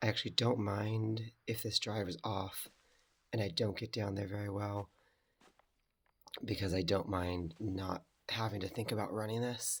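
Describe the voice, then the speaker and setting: A man speaks at a moderate pace with long, frequent pauses. His fairly low voice is somewhat breathy, with monotone, flat intonation. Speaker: video game commentator. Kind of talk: gameplay commentary. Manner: casual.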